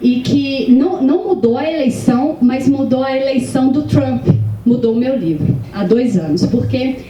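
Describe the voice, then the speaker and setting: A woman with a Minas Gerais accent speaks at a fairly slow pace, high in pitch with lively intonation, amid noticeable background noise and audible room echo. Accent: Minas Gerais (mineiro). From Minas Gerais, Brazil. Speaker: novelist. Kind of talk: panel discussion. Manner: hesitant, many fillers.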